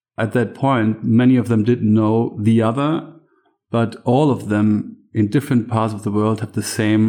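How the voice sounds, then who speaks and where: A man speaks with a German accent at a fairly low pitch. His pace is moderate and his intonation fairly even. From Germany, east of Berlin. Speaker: farmer. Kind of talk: interview.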